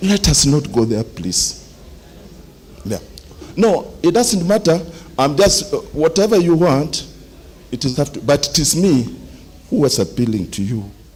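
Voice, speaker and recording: Over noticeable background noise, a man talks at a fairly slow pace with long, frequent pauses. His fairly high voice makes very wide pitch swings. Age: 70s. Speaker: engineer, association member. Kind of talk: meeting speech, appeal to members. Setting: general meeting in a club hall.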